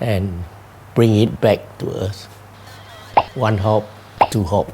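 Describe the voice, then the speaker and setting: With a Singaporean accent, a man speaks very slowly at a fairly low pitch and with fairly even intonation, amid noticeable background noise. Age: 80s+. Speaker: retired telecoms engineer. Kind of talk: interview. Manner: halting.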